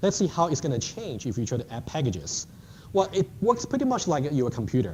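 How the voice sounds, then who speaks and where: Speaking at a fairly quick pace, a man uses very wide pitch swings and vocal fry. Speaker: university lecturer. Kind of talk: lecture. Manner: fast.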